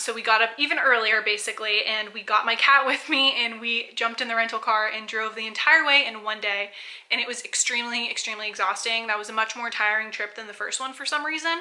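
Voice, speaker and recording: Over noticeable background noise, a woman with an American accent speaks at a very fast pace with hardly any pauses, fairly high in pitch and with fairly even intonation. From South Florida. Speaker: lifestyle vlogger. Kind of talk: casual vlog monologue.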